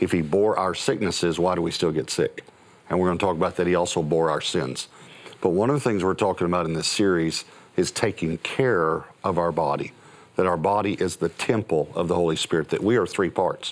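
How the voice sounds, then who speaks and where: A man talks fairly quickly in a very deep, low voice, keeping his loudness very even. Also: ordinary pitch variation. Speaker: pastor. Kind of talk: sermon.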